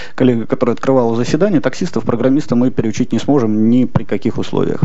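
A man speaks very fast with ordinary pitch variation. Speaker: panelist. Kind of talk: meeting speech. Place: hall. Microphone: podium.

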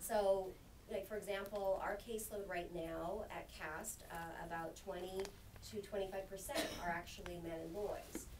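Someone with an American accent speaks at a fairly slow pace against noticeable background noise. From Filipino American. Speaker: anti-trafficking nonprofit worker. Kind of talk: panel discussion. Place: meeting room. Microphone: podium.

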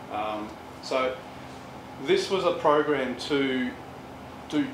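There is noticeable background noise behind the man's voice. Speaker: presenter. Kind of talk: presentation talk. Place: meeting room. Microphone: camera far.

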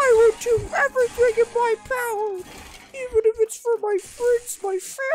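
In a put-on character voice, the speaker uses an extremely high pitch and a whiny, dramatic tone at a moderate pace with hardly any pauses. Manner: dramatic, crying.

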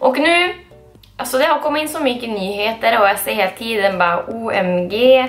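A woman speaks with a northern Swedish accent at a high pitch, her tone upbeat and her pitch swinging very widely. Faint music plays in the background. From Skellefteå, northern Sweden. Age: 20s. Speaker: beauty vlogger. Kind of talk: casual haul video talk to camera. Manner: chatty, upbeat. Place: home room. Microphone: camera far.

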